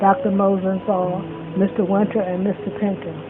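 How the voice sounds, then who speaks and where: An American accent comes through over noticeable background noise. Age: old. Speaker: longtime resident sharing memories. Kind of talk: testimony.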